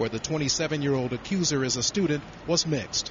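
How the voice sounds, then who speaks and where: A man speaks at a fairly quick pace in a fairly high pitch, with noticeable noise in the background. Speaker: field news reporter. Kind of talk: 2006 TV news broadcast report. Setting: on location, remote from anchor. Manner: formal, brisk, even newsreader delivery.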